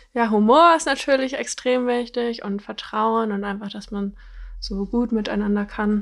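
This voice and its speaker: A woman speaks at a fairly slow pace in a fairly high pitch with ordinary pitch variation. It is an unremarkable speaking voice. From Bavaria, Germany (near Munich). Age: 20s. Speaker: dating show contestant. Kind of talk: casual chat.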